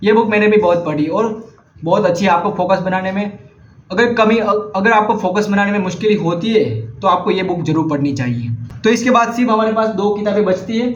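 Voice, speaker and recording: A man with a Gujarati accent speaks in a high pitch with ordinary pitch variation, over noticeable background noise and audible room echo. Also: moderate pace. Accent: Gujarati-accented Hindi. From India, Gujarat. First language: Gujarati (speaking Hindi). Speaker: vlogger, book recommender. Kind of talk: casual vlog monologue. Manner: halting, self-correcting.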